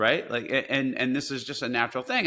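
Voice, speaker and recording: Very fast and with lively intonation, a man speaks with an American accent. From New Jersey. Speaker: poker player and investor. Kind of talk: interview conversation. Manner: repetitive, hesitant starts.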